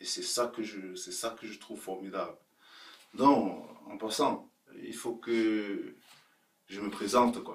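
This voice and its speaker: This man speaks very slowly, leaving long, frequent pauses. His loudness swings widely. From Cameroon. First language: Cameroonian local language (speaking French). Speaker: video blogger. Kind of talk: casual vlog monologue. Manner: halting.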